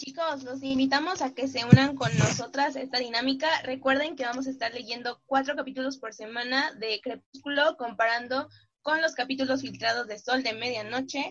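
Speaking at a moderate pace with hardly any pauses, a woman uses a high pitch and fairly even intonation. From Mexico. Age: 20s. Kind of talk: casual chat.

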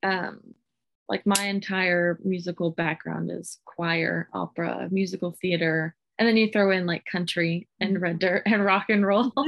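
A woman speaks at a fairly slow pace in an unremarkable speaking voice, her fairly low pitch held in fairly even intonation. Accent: American. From Southwest Oklahoma, Hobart. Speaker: singer-songwriter. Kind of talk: interview.

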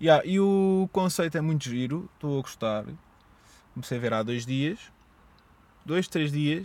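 On a very clean recording with a silent background, a man with a European Portuguese accent speaks fairly slowly in a fairly high pitch, pausing long and often. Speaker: podcaster. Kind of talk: solo monologue podcast. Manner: stuttering, hesitant; casual, rambling.

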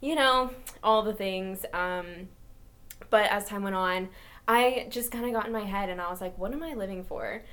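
Audible room echo colors the sound as a woman of medium pitch speaks at a moderate pace with ordinary pitch variation. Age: 20s. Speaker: podcast co-host. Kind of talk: casual chat. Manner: giggly, lots of laughter.

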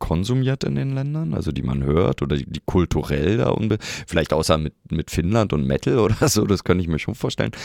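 A man's very deep, low-pitched voice in a dry, close sound with no echo. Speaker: podcast co-host and musician. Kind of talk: casual chat.

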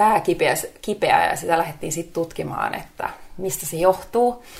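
Against noticeable background noise, a woman speaks fairly slowly at a fairly low pitch with ordinary pitch variation. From Finnish Lapland (Rovaniemi). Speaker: former model, positive psychology coach. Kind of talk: interview.

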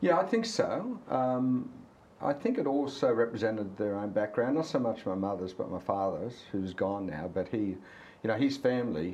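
A man with an Australian accent amid audible room echo. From Australia, Cessnock NSW. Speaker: company CEO. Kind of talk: casual interview. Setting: outdoors by a harbour.

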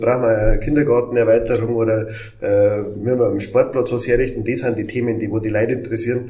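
A man speaks at medium pitch and a fairly quick pace. His intonation is monotone and flat, with audible room echo. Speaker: mayor. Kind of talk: casual chat.

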